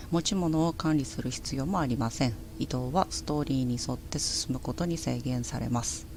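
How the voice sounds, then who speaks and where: The speech comes at a moderate pace in an Akita accent. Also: woman. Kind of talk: casual game commentary.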